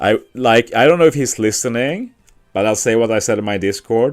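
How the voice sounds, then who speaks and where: A man with a Swedish accent speaks at a moderate pace, with music in the background. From Sweden. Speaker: gaming streamer. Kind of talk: casual live-stream chat. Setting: live stream at workplace.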